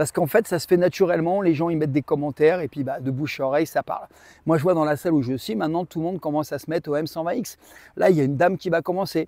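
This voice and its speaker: A man talks very fast in an animated tone at a fairly high pitch with ordinary variation. The recording is very clean and dry, close with no echo, over a silent background. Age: 60s. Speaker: bodybuilding coach. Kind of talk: casual to-camera talk with sales pitch.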